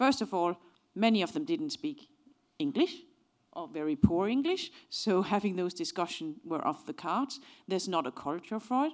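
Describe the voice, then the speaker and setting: A woman with a Danish accent talks at a moderate pace and a fairly high pitch. Her pitch swings very widely over a quiet background. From Denmark. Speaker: organizational psychology professor. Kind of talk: lecture. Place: hall. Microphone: handheld.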